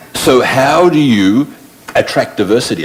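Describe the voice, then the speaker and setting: Against noticeable background noise, a man's voice makes very wide pitch swings. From Australia. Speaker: panelist. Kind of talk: panel discussion.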